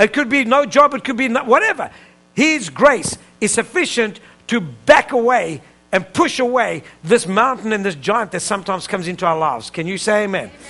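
A high-pitched man speaks fairly quickly in a raised, projected voice with an animated tone. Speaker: preacher. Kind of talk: sermon. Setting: church with live congregation. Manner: animated, call-and-response preaching; urgent, emphatic, pulpit cadence. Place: church.

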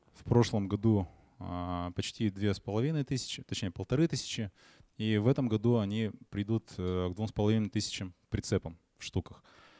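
A man speaks at a fairly slow pace in a fairly low pitch, with a dark, mellow tone, big swings in loudness, and long, frequent pauses. The sound is dry with no echo, and the background is quiet. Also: ordinary pitch variation. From Perm, Russia; Russia. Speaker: web agency director; conference presenter. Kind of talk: conference talk. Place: hall. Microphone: handheld.

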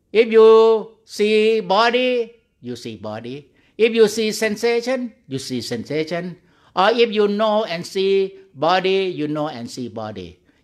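Over a quiet background, a man with a high pitch speaks at a fairly slow pace in a calm tone, with lively intonation and big swings in loudness. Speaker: Buddhist monk meditation teacher. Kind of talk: guided meditation. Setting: online video call. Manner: slow, calm, gently instructing with pauses; simple, repetitive, halting English. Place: hall. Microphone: studio mic.

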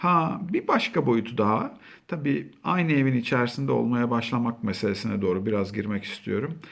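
A man of medium pitch speaks with vocal fry and lively intonation, his loudness very even. He keeps a moderate pace with hardly any pauses. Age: 40s. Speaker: school counselor. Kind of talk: talk to camera. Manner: conversational.

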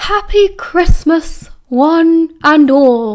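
The speaker uses a put-on character voice at an extremely high pitch. The tone is cheerful. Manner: booming, cheerful.

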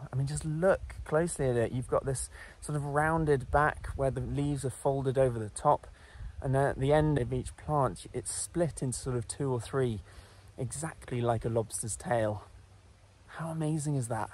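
A man speaks at a moderate pace in a somewhat breathy voice with ordinary pitch variation. The sound is dry with no echo. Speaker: presenter. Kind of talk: nature vlog explanation. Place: forest. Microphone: phone near.

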